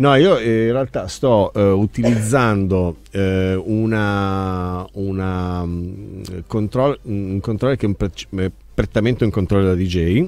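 With a fairly low pitch and a slightly mellow tone, a man talks at a fairly slow pace with ordinary pitch variation and few pauses.

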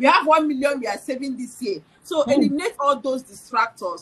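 A woman's high-pitched, animated voice at a very fast pace. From Nigeria. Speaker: financial educator. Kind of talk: casual chat. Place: home room. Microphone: video call.

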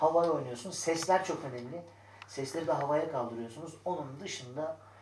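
Speaking at a fairly quick pace with ordinary pitch variation, a man is heard over light background noise and audible room echo. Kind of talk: pre-show notes to actors. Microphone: camera far.

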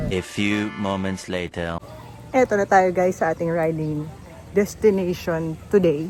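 This is a woman speaking. Her pitch is fairly low. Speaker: motorcycle vlogger. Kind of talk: casual vlog narration. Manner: animated.

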